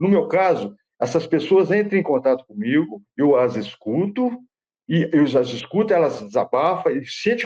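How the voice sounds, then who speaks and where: Speaking at a moderate pace, a man with a high pitch and a dark, mellow tone makes very wide pitch swings. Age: 60s. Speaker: father running a suicide-prevention institute. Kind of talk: interview. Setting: live-streamed online interview. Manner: halting, with many repetitions and restarts.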